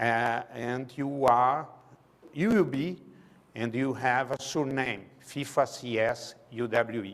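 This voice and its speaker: A man with a Brazilian Portuguese accent. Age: 60s. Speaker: sports management lecturer. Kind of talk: public lecture. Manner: halting.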